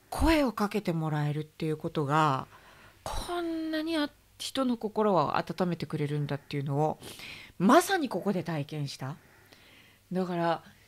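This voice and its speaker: A woman with a fairly low voice speaks at a moderate pace, her lively intonation broken by long, frequent pauses. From Japan. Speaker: interviewer. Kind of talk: interview. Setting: in a pharmacy. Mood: warm, earnest, reflective. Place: shop. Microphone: studio mic.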